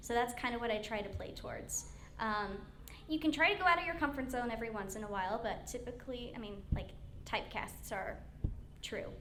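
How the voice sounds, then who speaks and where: Against noticeable background noise and audible room echo, a woman talks at a fairly quick pace in a high pitch with lively intonation. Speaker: voice actor. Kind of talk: convention panel Q&A.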